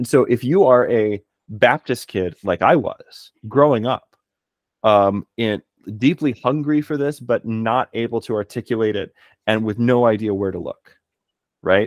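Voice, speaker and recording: With an American accent, a man speaks at a fairly slow pace with ordinary pitch variation. The sound is dry with no echo, and the background is quiet. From Texas. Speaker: philologist and martial artist; podcast guest. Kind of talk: casual chat. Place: home room. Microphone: studio mic.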